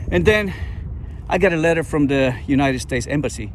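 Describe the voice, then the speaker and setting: A man with a Spanish accent speaks at a fairly quick pace. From Colombia. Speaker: entrepreneur and engineer. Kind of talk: personal storytelling vlog. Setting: outdoors in a park. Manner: halting, with repetitions.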